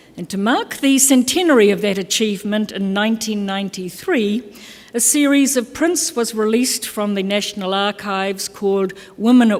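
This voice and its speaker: A woman with a New Zealand accent at medium pitch, ordinary pitch variation and a moderate pace, over noticeable background noise. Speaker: keynote speaker, labour organisation specialist. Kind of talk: conference keynote address. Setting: conference stage with audience.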